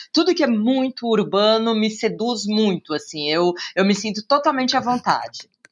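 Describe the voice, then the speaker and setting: A woman with a São Paulo accent, fairly high in pitch, with lively intonation. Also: moderate pace. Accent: São Paulo Brazilian Portuguese. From Brazil, São Paulo city. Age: 40s. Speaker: journalist and TV presenter. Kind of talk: casual interview.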